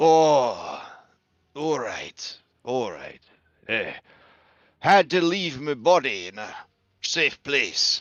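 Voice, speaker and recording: Using a put-on character voice, a man speaks in a raspy, fairly high pitch at a very slow pace with long, frequent pauses. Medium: actual play. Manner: folksy, fatherly.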